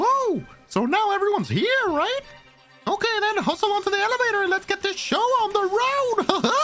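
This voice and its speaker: A put-on character voice at a moderate pace, with faint music in the background. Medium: actual play. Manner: playful, theatrical.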